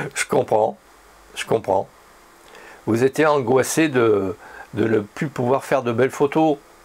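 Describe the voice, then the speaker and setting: A man with a medium pitch and ordinary pitch variation speaks at a very slow pace, leaving long, frequent pauses. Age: 60s. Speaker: photography YouTuber. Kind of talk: opinion monologue with imagined dialogue. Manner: conversational, ironic.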